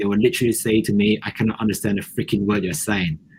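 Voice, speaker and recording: A man with a non-native accent talks at a medium pitch, somewhat breathy, with ordinary pitch variation. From Malaysia. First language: not English. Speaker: podcast co-host. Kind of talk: casual chat. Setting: live stream.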